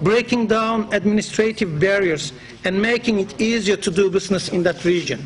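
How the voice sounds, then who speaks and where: With a Turkish accent, a man talks at a fairly quick pace in a high voice, with ordinary pitch variation and very even loudness, against noticeable background noise. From Turkey. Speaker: business association president. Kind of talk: formal speech. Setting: conference in parliament. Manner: formal.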